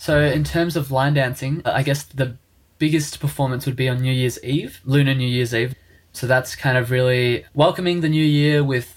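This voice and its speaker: With an Australian accent, a man talks at a fairly high pitch with fairly even intonation. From Australia, Melbourne (Springvale). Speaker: university student and lion dance organiser. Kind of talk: casual chat.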